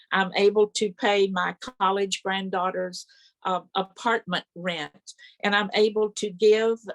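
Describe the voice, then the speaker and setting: Recorded with a dry, close sound and no echo, a woman with a Texan accent speaks very slowly at a medium pitch, her intonation monotone and flat. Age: 80s+. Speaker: network marketing distributor. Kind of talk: testimony; speaker introduction. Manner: reading aloud.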